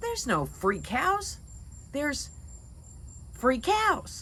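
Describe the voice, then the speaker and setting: Putting on a character voice, a woman speaks very slowly at a high pitch over clear background noise. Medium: read story.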